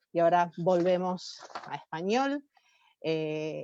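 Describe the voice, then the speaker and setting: With an Argentine accent, a woman speaks at a fairly low pitch. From Argentina. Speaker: professor and conference organizer. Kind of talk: formal welcome speech. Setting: webinar. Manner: halting, with filler sounds.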